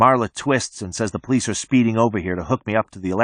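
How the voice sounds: The voice is a natural reading voice with ordinary pitch variation.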